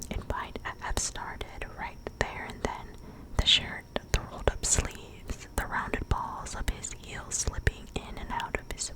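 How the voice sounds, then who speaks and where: Noticeable background noise runs through this clip. A woman whispers at a fairly slow pace. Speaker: ASMR creator. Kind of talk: ASMR book reading. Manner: soft, whispered, slow.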